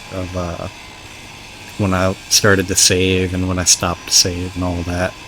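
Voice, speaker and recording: The pace is moderate. Behind the speech, music can be heard. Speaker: gaming YouTuber. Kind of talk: let's play commentary. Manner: halting, many filler words.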